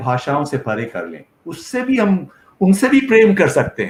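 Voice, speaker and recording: The man's pitch swings very widely. He talks at a very slow pace. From India, Kashmir. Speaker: professor. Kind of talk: lecture.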